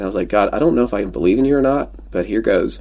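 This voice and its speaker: A man with a Pennsylvania accent, with noticeable background noise. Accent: Pennsylvania American. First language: Pennsylvania Dutch. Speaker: former real estate team leader. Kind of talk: casual podcast interview. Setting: podcast recording, audio only.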